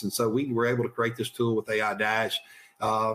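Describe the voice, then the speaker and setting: Noticeable background noise runs under a fairly quick delivery in an American accent. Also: man. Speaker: utility vegetation manager. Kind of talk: webinar presentation. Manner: fast; halting, repeats words.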